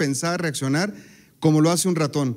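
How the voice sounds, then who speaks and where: A man's fairly high, a normal speaking voice, at a fairly quick pace with ordinary pitch variation over a quiet background. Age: 40s. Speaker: technologist; speaker. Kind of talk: talk to an audience. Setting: stage with audience. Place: stage. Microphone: handheld.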